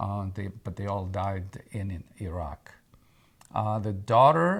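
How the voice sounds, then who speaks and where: A man speaks at a fairly slow pace in a fairly low pitch. His voice is somewhat breathy, on a very clean recording with a silent background. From Egypt. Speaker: oral history interviewee. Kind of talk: interview answer.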